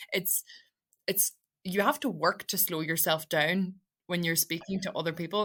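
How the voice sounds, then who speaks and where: A woman with a Donegal accent, fairly low in pitch with a bright, sharp tone, long, frequent pauses, and a very clean recording with a silent background. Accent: Donegal Irish English. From Ireland, Donegal Gaeltacht. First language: Irish. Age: 20s. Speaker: radio presenter. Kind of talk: interview conversation. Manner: fast, mumbling; emotional when speaking about the language.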